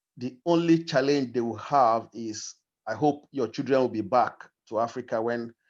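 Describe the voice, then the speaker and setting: Against a quiet background, a man with a Nigerian accent speaks at medium pitch and a moderate pace. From Nigeria, Igbo, grew up in Kogi State. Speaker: discussion participant. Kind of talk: group discussion. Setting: video call. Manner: halting.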